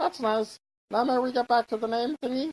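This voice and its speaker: A put-on character voice, fairly high in pitch, at a fairly quick pace. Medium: machinima. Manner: chatty, self-satisfied.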